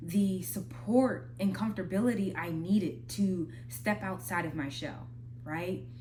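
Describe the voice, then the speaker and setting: With vocal fry and very wide pitch swings, a woman speaks at a fairly low pitch and a fairly slow pace amid audible room echo. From Minnesota. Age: 20s. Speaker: spoken word artist and vlogger. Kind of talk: casual advice talk. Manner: conversational, slightly halting.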